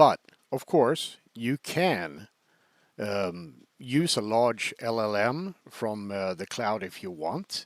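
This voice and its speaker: On a very clean recording with a silent background and a dry, close sound with no echo, a man with a Swedish accent speaks at a very slow pace with very wide pitch swings. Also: fairly low pitch for a man. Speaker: software developer demoing own product. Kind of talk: product demo tutorial. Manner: hesitant, many fillers.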